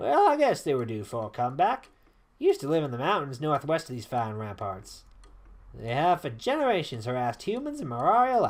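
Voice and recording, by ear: A fairly quick put-on character voice from a man, fairly high in pitch, in a Southern accent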